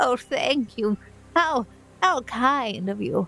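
A female-sounding voice puts on a character voice, pitched high. It goes at a very slow pace. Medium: actual play. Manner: frail, polite, grateful.

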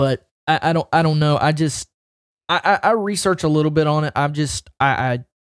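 Fairly high in pitch, a man speaks fairly quickly with ordinary pitch variation in a dry, close sound with no echo and a very clean, silent background. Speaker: podcast co-host. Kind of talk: casual chat.

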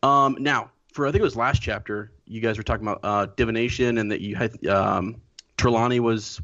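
Spoken at a moderate pace, a plain, everyday voice shows ordinary pitch variation. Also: man. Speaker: guest co-host. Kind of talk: casual chat. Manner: joking.

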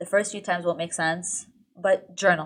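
Her intonation fairly even and her pitch medium, a woman speaks in an unremarkable speaking voice. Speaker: lifestyle content creator. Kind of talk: casual interview chat.

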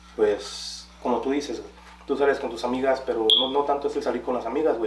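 A man with a Mexican accent speaks at a fairly quick pace, with noticeable background noise and audible room echo. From Guanajuato, Mexico. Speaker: podcast co-host. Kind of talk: casual chat.

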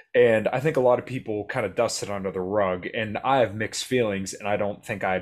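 Heard on a very clean recording with a silent background, a plain, everyday voice moves at a fairly quick pace. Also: man. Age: 20s. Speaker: podcast host. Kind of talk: casual interview chat. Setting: home recording.

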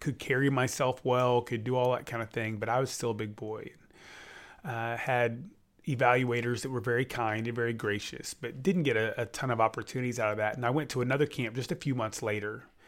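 Very clean recording with a silent background of a man in a normal speaking voice, medium in pitch, with fairly even intonation and a fairly quick pace. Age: 40s. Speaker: podcast co-host, sports official. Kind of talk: casual chat.

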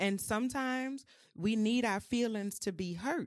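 With a New Orleans accent, a woman talks at a moderate pace with lively intonation. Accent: New Orleans Southern US. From New Orleans, US South. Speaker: mental health and wellness creative. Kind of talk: casual chat.

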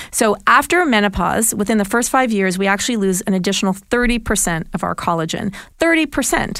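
A woman talks at a very fast pace, with medium pitch and lively intonation. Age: 50s. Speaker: nutritionist. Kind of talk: casual chat.

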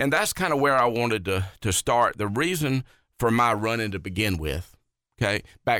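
The speaker has a Southern US accent. The pace is moderate and the intonation lively. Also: man. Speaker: county council candidate. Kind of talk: radio interview.

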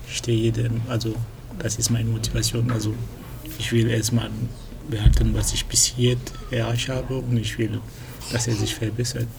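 Whispering at a moderate pace with long, frequent pauses, the voice comes through audible room echo and noticeable background noise. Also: man. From Cameroon, then Lyon, France from about age ten. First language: French (speaking German). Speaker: computer science student, language tandem partner. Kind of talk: casual chat. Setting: library. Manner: halting, searching for German words.

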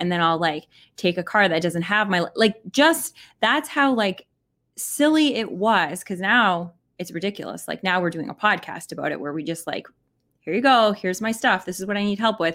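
An unremarkable speaking voice moves at a fairly quick pace. The recording is very clean, with a silent background. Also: woman. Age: 40s. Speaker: podcast co-host. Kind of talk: casual chat. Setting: live stream.

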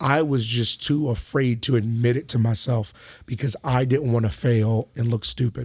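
An American-accented man at medium pitch talks at a moderate pace in an animated, somewhat breathy tone with hardly any pauses. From South Carolina, US South. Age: 20s. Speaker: pop singer. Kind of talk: interview.

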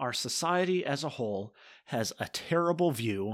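A man with a plain, everyday voice speaks at a fairly slow pace with lively intonation. The recording is very clean, with a silent background. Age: 20s. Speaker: podcast host. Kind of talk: solo talk podcast with scripture teaching.

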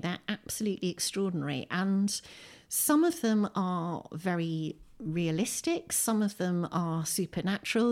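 Very clean recording, with a silent background. A woman speaks at medium pitch in a southern English accent. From southern England (Windsor, Berkshire). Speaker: poet and author. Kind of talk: casual interview. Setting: at home.

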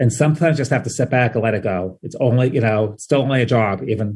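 This man's pace is fairly quick. Nothing stirs in the quiet background. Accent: New York. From New York (Queens). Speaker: journalist, head of news content. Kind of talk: casual interview chat. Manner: conversational, frequent fillers.

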